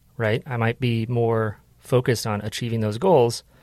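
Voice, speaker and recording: A man speaks at fairly low pitch with fairly even intonation in an unremarkable speaking voice. The sound is dry and close, with no echo. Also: very clean recording, silent background. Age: 30s. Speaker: podcast producer and host. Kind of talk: casual chat.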